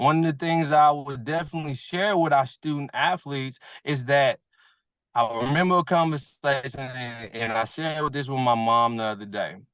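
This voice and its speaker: A man's fairly high voice in an American accent, moderate in pace, with ordinary pitch variation, over a quiet background. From Texas, Houston. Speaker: former pro football player. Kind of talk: panel discussion. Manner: animated.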